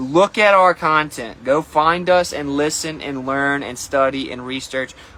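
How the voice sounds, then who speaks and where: A man speaks with a bright, sharp tone. His pitch is fairly high, with ordinary pitch variation. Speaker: flat earth streamer. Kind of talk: casual monologue livestream. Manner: fast.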